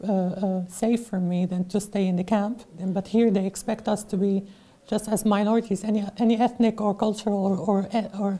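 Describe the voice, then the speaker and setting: The voice has a dark, mellow tone, somewhat breathy, with monotone, flat intonation at a moderate pace. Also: woman, medium pitch for a woman. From Syria. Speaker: refugee. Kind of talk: interview. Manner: halting.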